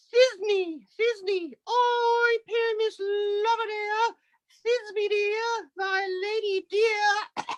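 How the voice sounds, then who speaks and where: Put-on character voice, female-sounding and at an extremely high pitch, at a very slow pace. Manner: exaggerated, theatrical.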